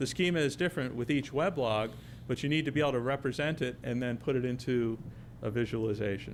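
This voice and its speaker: A man's voice with vocal fry and lively intonation. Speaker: technology company presenter. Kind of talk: conference presentation. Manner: fast.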